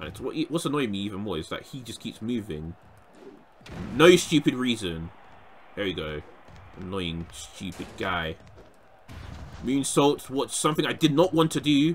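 A man speaks at a medium pitch, his voice swinging very widely in pitch and loudness with vocal fry. Long pauses come often. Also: moderate pace. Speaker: gaming YouTuber. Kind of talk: gameplay commentary. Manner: animated, shouting.

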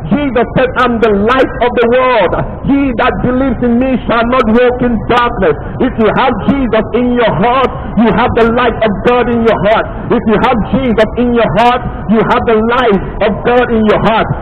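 Against clear background noise, a man with an extremely high pitch talks at a moderate pace with fairly even intonation and few pauses.

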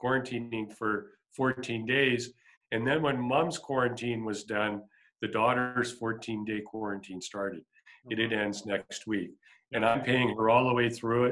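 A man at a fairly slow pace, his intonation fairly even. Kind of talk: interview answer. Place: office. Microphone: video call.

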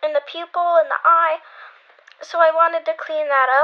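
A woman's voice sits at an extremely high pitch, delivered in a monotone, flat intonation. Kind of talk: casual tutorial voiceover. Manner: casual, hesitant.

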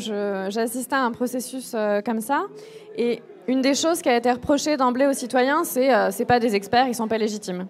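A woman's voice sits high in pitch, moving at a moderate pace with ordinary pitch variation. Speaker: activist movement founder. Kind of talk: casual chat.

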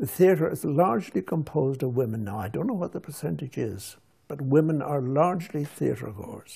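A man talks at a moderate pace in a fairly high pitch, somewhat breathy, with a dark, mellow tone. His loudness swings widely against a quiet background. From Scotland, then Ireland border area; Scotland. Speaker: writer; interviewee. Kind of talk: interview. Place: home room. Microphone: lapel.

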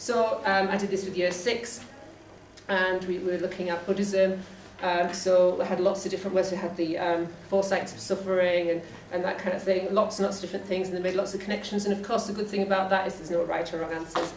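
Talking at a very fast pace in a monotone, flat intonation, a woman with a Geordie accent is heard with audible room echo and light background noise. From northeast England. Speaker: school teacher. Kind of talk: presentation talk to colleagues. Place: meeting room. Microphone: camera far.

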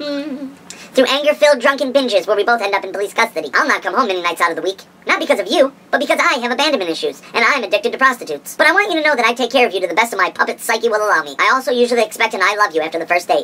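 A put-on character voice at a very fast pace, with hardly any pauses. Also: female-sounding voice, fairly high pitch for a woman. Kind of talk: comic dating-ad parody.

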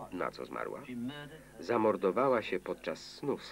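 At a moderate pace, a man talks in a calm tone over light background noise. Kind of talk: Polish film voice-over (lektor) reading all characters' lines over the film audio. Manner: flat, even, deadpan monotone narration without acting out the characters; single male reader delivering every role in the same calm, unemotional tone. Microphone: old recording.

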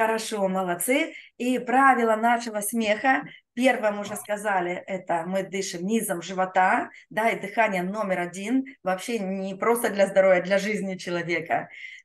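Moderate pacing from a woman, her pitch varying in an ordinary way. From Russia, Rostov-on-Don. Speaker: laughter yoga trainer. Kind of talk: guided group exercise session. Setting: online video session with chat. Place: home room. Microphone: webcam.

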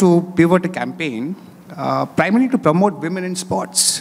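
With vocal fry and lively intonation, a man speaks at a fairly high pitch and a moderate pace.

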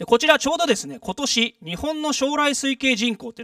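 The sound is dry with no echo, over a quiet background. The speaker is a man. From Japan, Saitama. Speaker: public lecturer, former residents' association official; guest lecturer. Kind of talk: lecture. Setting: stage with audience. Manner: frequent filler words. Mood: friendly, smiling. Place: hall. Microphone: handheld.

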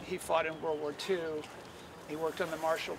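Over noticeable background noise, a man talks in a fairly high pitch, the sound dry with no echo. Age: 60s. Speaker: local politician. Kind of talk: public speech. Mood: earnest, reflective. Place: waterside. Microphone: podium.

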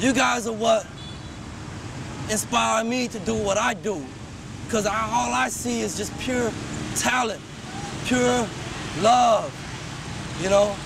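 A man with an American accent speaks very slowly at a high pitch, with lively intonation and long, frequent pauses, in a dry sound with no echo over noticeable background noise. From US West Coast, California. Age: 30s. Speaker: spoken word artist. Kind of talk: personal video message; casual thank-you message to viewers. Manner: earnest. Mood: warm, grateful. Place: street.

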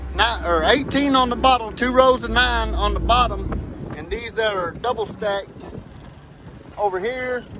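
This man talks at a moderate speed. The sound is dry with no echo, and background noise is noticeable. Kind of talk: casual vlog chat. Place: farm machine. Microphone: phone near.

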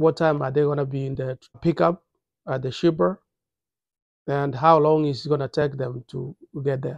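In a quiet background, a man speaks at a moderate pace with ordinary pitch variation and a dry sound with no echo. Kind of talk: tutorial. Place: office. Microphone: phone near.

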